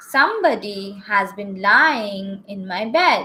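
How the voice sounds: A put-on character voice, gruff in quality. The pace is fairly slow. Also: woman, medium pitch for a woman.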